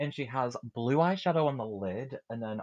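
Speaking with a British accent, a man with a medium-pitched voice uses lively intonation over a quiet background, the sound dry and close with no echo. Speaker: podcast host. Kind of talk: casual chat.

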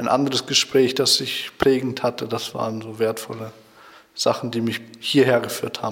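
Noticeable background noise runs under this recording. A man speaks at a medium pitch in a monotone, flat way. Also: moderate pace. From Germany, Schloss Holte (Westphalia). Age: 20s. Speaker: Bible school student. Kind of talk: radio interview. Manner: hesitant, many fillers.

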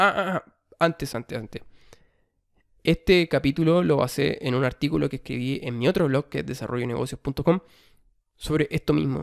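In a Chilean accent, the speaker talks with ordinary pitch variation in a very clean recording with a silent background and a dry, close sound with no echo. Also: man. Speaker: podcast host. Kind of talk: self-help monologue.

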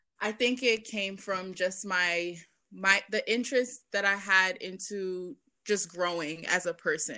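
Speaking fairly slowly in a New York accent, a woman with a medium pitch, ordinary pitch variation and a bright, sharp tone is heard on a very clean recording with a silent background. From Brooklyn, New York. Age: 20s. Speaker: violinist and personal finance educator. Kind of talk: casual interview.

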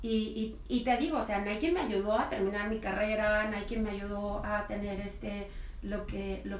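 A woman speaks at a fairly slow pace. Her pitch is medium, and there is noticeable background noise. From Mexico, Colima. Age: 30s. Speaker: podcast guest. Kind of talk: casual chat.

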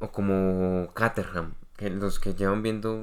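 With fairly even intonation and a fairly low pitch, a man talks in an unremarkable speaking voice, captured in a very clean recording over a silent background. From Colombia. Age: 20s. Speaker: podcast co-host. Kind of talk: casual chat.

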